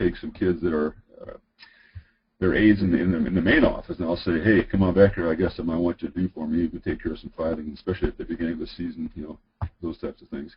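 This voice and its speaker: This man speaks very fast in a very deep, low voice. His delivery is somewhat breathy. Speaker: high school athletic director. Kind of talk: webinar presentation. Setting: online webinar. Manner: many filler words.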